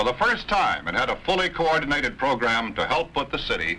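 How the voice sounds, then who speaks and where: A man with a normal speaking voice, a fairly high pitch, a moderate pace and an American accent. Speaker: television news anchor narrating a documentary. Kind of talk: documentary film narration.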